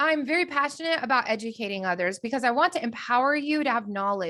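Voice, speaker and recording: A woman's fairly high, bright, sharp voice, animated and very fast, with lively intonation over a quiet background. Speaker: business coach. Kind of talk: online training.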